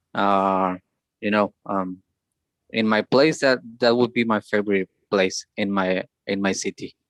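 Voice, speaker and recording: A man speaks at a fairly slow pace in a fairly low voice with fairly even intonation, leaving long, frequent pauses, in a dry, close recording with no echo. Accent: Spanish. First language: Spanish. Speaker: English learner in conversation group. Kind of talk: speaking practice answer. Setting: video call. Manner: halting, repetitions.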